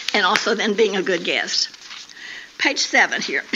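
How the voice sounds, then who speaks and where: A woman speaks over noticeable background noise. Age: 80s+. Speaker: women's day speaker. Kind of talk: talk to church women's gathering. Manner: halting, repeats words.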